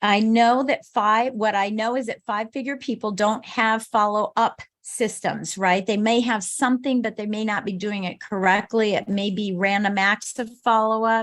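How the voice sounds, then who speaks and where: The woman has an unremarkable speaking voice with a fairly high pitch. She keeps a moderate pace and fairly even intonation. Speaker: business coach speaker. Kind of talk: motivational talk.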